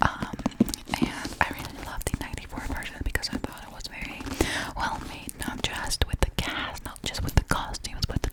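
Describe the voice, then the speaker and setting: A woman whispers at a moderate pace, her loudness rising and falling sharply against noticeable background noise. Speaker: ASMR creator. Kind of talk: ASMR rambling and reading. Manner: whispered; repetitive, soft-spoken.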